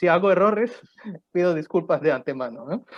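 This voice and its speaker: A man speaks high in pitch with a non-native accent. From Pakistan. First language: not Spanish (speaking Spanish). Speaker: economist and lecturer. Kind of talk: lecture. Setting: university conference. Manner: halting, with many fillers.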